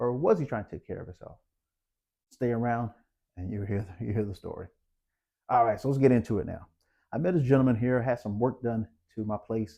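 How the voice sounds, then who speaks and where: With long, frequent pauses, a man speaks at a fairly quick pace in a dark, mellow tone at medium pitch, against a quiet background. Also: ordinary pitch variation, big swings in loudness. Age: 50s. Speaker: health vlogger. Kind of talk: casual storytelling vlog. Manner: casual, halting with many fillers.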